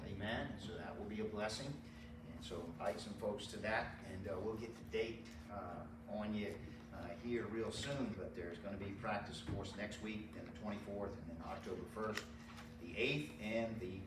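A man at a moderate pace with ordinary pitch variation, amid noticeable background noise and audible room echo. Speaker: pastor. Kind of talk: church announcements. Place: church. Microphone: camera far.

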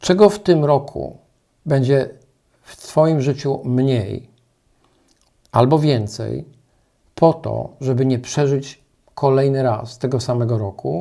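A man's medium-pitched, dark, mellow voice at a very slow pace, with ordinary pitch variation. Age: 60s. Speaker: life coach. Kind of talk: motivational talk.

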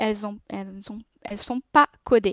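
Against a quiet background, a woman with a non-native accent speaks with ordinary pitch variation in a dry sound with no echo. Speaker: designer and speaker at a tech meetup; speaker. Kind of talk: conference talk. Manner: halting, many hesitations. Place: home room. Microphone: webcam.

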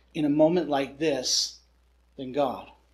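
The background is quiet. A man speaks at a fairly slow pace. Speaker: preacher. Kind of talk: sermon. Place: home room.

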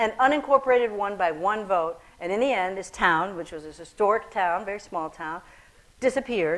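Lively in intonation, a woman speaks at a fairly quick pace with big swings in loudness. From Ethiopia-born, raised in Michigan, US; Ethiopia. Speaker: painter; guest. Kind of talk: onstage conversation; interview answer. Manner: halting. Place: hall.

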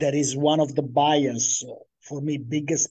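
Speaking at a fairly slow pace, a man has a fairly high pitch and a dark, mellow tone. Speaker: researcher, game designer. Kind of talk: conference Q&A answer. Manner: hesitant.

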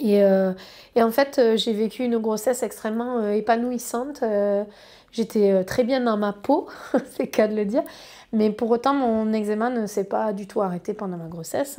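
Against a quiet background, a woman with a fairly high pitch and a dark, mellow tone speaks at a fairly slow pace with fairly even intonation. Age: 30s. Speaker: patient with eczema sharing her experience. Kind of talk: personal testimony. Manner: halting, frequent hesitations. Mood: calm, warm, positive. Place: office.

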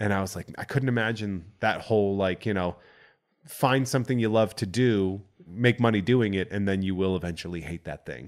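On a very clean recording with a silent background, a man with an American accent speaks in an unremarkable speaking voice, pitched fairly low. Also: ordinary pitch variation, fairly quick pace. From Central Massachusetts, US. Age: 30s. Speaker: podcast host. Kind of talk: casual chat.

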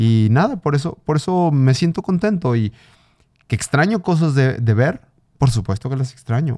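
Fairly high in pitch, a man talks with lively intonation and a dark, mellow tone. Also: moderate pace, very even loudness, quiet background. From Mexico. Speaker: blind mountaineer and triathlete; podcast guest. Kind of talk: casual interview chat. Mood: reflective, emotional. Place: studio. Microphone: studio mic.

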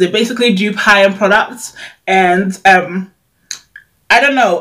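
Fairly bright in tone, a woman speaks at a medium pitch with fairly even intonation.

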